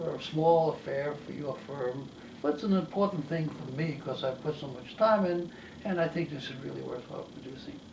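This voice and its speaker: A man's fairly high voice carries audible room echo, with noticeable background noise behind it. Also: big swings in loudness. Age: 80s+. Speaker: retired professor of neurology and translator. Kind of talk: interview monologue. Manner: halting.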